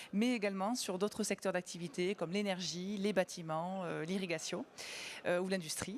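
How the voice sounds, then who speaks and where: A woman with a Toulouse accent speaks at a moderate pace. Her intonation is fairly even. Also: medium pitch for a woman, very clean recording, silent background. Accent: southern French (Toulouse). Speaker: company sales director. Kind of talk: conference panel presentation. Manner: hesitant, many fillers.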